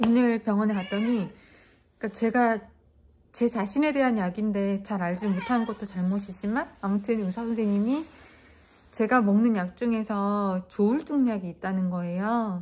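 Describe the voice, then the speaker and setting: This woman talks at a moderate pace with ordinary pitch variation. Her voice is somewhat breathy over light background noise. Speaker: vlogger. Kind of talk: casual vlog chat. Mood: subdued, sad, reflective. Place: home room. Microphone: phone near.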